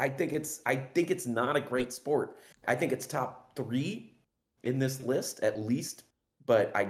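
Speaking with an American accent, a man talks at a fairly slow pace and medium pitch, sounding somewhat breathy. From Los Angeles. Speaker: podcast guest. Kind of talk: casual chat. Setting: livestream over Discord.

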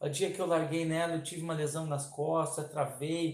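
Through audible room echo comes a man's voice with a high pitch. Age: 40s. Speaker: trail runner and race safety team chief. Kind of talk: casual interview. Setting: live stream.

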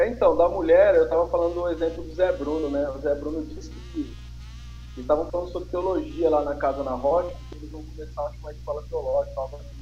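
A man talks at a very fast pace, his loudness swinging widely. Audible room echo and noticeable background noise fill the recording. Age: 30s. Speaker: pastor and church planter. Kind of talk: casual interview chat. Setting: remote live stream with connection problems.

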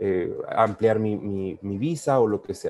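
With a Mexican accent, a man speaks in a dark, mellow tone. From Mexico, Michoacán. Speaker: former university classmate, emigrant to Canada. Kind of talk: casual interview.

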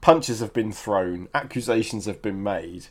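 A British-accented man at a medium pitch and moderate pace, on a very clean recording with a silent background. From Britain. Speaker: film podcast co-host. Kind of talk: casual chat.

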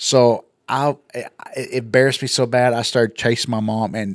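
A man with a West Texas accent speaks at a medium pitch, his voice dry and close with no echo on a very clean recording against a silent background. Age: 50s. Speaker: business co-owner and podcast host. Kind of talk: casual chat.

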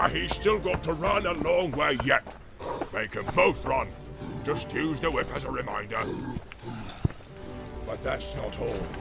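Over clear music in the background, a man uses a put-on character voice at a moderate pace. He leaves long, frequent pauses. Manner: snarling, harsh.

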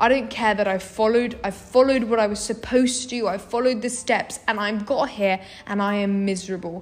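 With noticeable background noise behind her, a woman speaks at a fairly high pitch and a fairly quick pace, with fairly even intonation and hardly any pauses. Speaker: university student. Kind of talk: casual chat.

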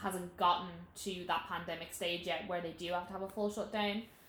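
With audible room echo and noticeable background noise, a woman speaks at a medium pitch in a monotone, flat intonation. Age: 20s. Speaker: podcast co-host. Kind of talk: casual chat.

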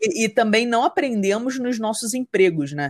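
With lively intonation, a woman talks at a moderate pace in a plain, everyday voice on a very clean recording with a silent background. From Rio de Janeiro state interior, Brazil. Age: 30s. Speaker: entrepreneur, marketing business founder. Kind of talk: podcast interview, casual chat.

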